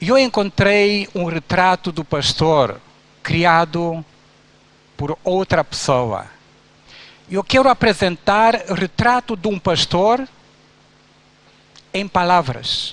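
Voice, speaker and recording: A man with a Romanian accent speaks at a very slow pace in a high voice with lively intonation, leaving long, frequent pauses, and the sound is dry and close with no echo. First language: Romanian (speaking Portuguese). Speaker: pastor. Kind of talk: sermon.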